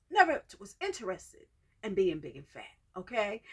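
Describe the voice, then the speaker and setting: Her bright, sharp tone carries vocal fry and very wide pitch swings as the woman talks at a moderate pace. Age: 60s. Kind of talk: personal testimony. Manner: conversational, halting.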